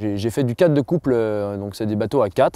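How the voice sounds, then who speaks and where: The voice has a dark, mellow tone and a slight Jura accent, with ordinary pitch variation. The sound is dry and close, with no echo. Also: man. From France, Jura (near Dole). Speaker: rower and rowing coach. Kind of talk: interview testimony. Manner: hesitant, many fillers.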